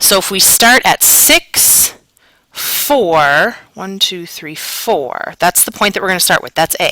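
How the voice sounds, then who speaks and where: A woman's medium-pitched voice at a fairly slow pace, in dry, close sound with no echo. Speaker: math teacher. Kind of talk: recorded lesson. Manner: casual.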